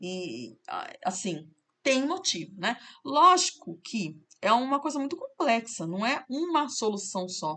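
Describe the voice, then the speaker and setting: Bright and sharp, a woman's high voice sweeps through very wide pitch swings. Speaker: math teacher. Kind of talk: tutorial.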